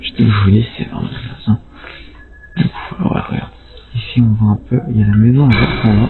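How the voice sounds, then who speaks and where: A man speaks quietly with long, frequent pauses while music plays in the background. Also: medium pitch for a man, ordinary pitch variation, moderate pace. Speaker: urban explorer vlogger. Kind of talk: casual vlog narration. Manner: quiet, hushed to avoid noise; halting, filler-heavy.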